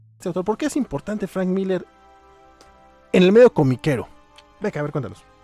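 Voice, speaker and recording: Music plays in the background as a man with a high pitch speaks at a fairly quick pace. His intonation is lively, and the sound is dry and close with no echo. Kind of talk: podcast discussion of comics, casual talk. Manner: casual, chatty.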